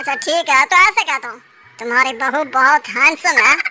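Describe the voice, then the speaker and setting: In a cartoonish character voice, a woman speaks at a high pitch with ordinary pitch variation. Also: moderate pace. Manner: blustering, rough street talk.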